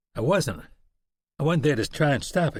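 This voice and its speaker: A raspy, put-on character voice at a moderate pace. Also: man, fairly high pitch for a man. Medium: read story.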